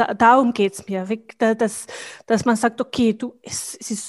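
Her fairly high pitch follows fairly even intonation at a fairly slow pace. The woman's recording has a dry, close sound with no echo. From Bosnia. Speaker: business professional and networking leader. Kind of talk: casual interview conversation. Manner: halting, with fillers and repetitions.

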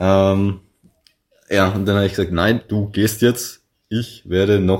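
Speech comes at a fairly slow pace. The recording is very clean, with a silent background. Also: man. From Lower Bavaria, Salzweg near Passau. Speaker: podcast guest, bank clerk and student. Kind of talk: casual interview.

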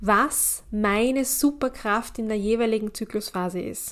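A woman speaks at a very slow pace. Her fairly high voice has ordinary pitch variation. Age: 30s. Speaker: cycle coach and podcast host. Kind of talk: solo podcast monologue.

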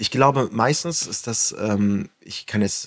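A man's voice, a normal speaking voice, with ordinary pitch variation. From northern Germany, Flensburg. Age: 30s. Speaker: influencer. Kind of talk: casual chat.

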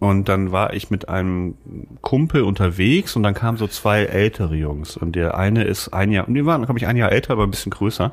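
A man's fairly low-pitched, a plain, everyday voice, fairly quick in pace with ordinary pitch variation. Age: 40s. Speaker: podcast co-host, author. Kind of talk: casual chat.

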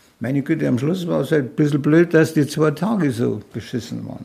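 In a very clean recording with a silent background, a man with a strong Bavarian accent speaks at a moderate pace, somewhat breathy and fairly high-pitched, with lively intonation. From Munich, Bavaria. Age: 80s. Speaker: retired mountaineer, expedition veteran. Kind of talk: storytelling interview.

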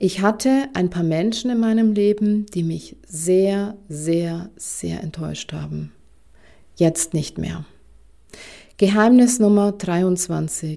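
A woman speaks very slowly with a Bavarian accent and a dark, mellow tone. Her pitch is medium and varies in an ordinary way. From Bavaria, Germany. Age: 40s. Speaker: career coach. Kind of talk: podcast monologue. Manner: enthusiastic.

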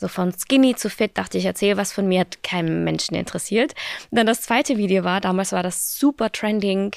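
Here is an unremarkable speaking voice from a woman of medium pitch, moving at a fairly quick pace with ordinary pitch variation. The sound is dry and close with no echo, in a very clean recording with a silent background. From Austria, small village. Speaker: fitness creator. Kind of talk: casual interview. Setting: studio.

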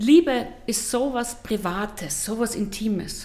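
A woman speaks with a fairly high pitch and a dark, mellow tone that is somewhat breathy. Her intonation is lively. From Austria, eastern Styria. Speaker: psychotherapist and TV relationship expert. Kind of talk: interview.

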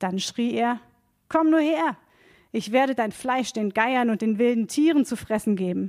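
A woman speaks in an ordinary speaking voice with a fairly high pitch. The recording is very clean, with a silent background. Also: ordinary pitch variation. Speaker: reader of Bible text. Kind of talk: reading aloud.

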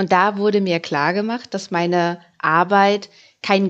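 A plain, everyday voice, fairly slow and fairly even in intonation. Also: woman. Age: 30s. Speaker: personal finance podcaster. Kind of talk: podcast monologue.

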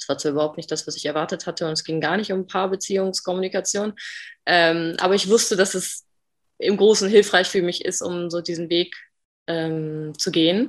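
In a quiet background, a woman with a plain, everyday voice speaks at a fairly quick pace in a fairly low pitch with fairly even intonation. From northern Germany, Bremen. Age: 20s. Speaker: podcast guest, coach. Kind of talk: interview.

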